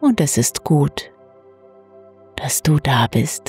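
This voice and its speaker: A soft-spoken woman uses a calm tone at a very slow pace, her sound dry and close with no echo while music plays in the background. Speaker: meditation guide. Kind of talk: guided sleep meditation. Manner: calm, soft-spoken.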